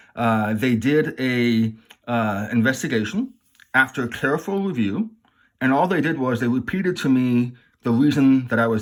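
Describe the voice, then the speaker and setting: At a moderate pace, the speaker talks in an American accent on a very clean recording with a silent background. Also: man. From immigrant, schooled in the US from childhood. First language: non-English language. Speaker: YouTuber discussing legal issues. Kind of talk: casual commentary to camera. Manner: hesitant, many fillers and restarts.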